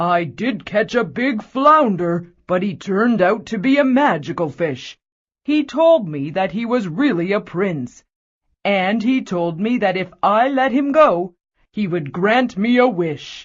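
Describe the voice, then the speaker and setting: A put-on character voice at a fairly high pitch unfolds at a fairly slow pace. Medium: read story. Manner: gentle, meek.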